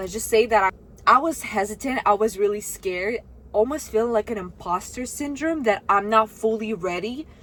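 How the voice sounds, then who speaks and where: A woman with a Russian accent and fairly high pitch talks at a moderate pace with ordinary pitch variation, with noticeable background noise behind her. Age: 20s. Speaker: vlogger. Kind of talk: casual vlog talk to camera. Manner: animated.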